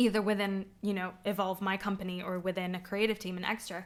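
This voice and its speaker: A woman with a normal speaking voice, medium pitch, an American accent and a moderate pace. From not the UK, Middle Eastern heritage. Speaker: podcast co-host, runs a creative company. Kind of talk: casual chat.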